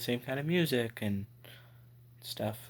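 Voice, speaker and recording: A man speaks quietly at a medium pitch. His pitch varies in an ordinary way. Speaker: vlogger. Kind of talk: personal vlog.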